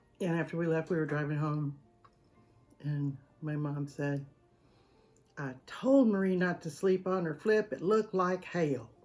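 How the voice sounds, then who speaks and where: Music plays in the background as a woman with a Southern US accent speaks at a very deep, low pitch. She talks at a fairly slow pace with long, frequent pauses. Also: ordinary pitch variation. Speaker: home cooking channel host. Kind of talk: casual storytelling to camera; video sign-off. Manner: animated.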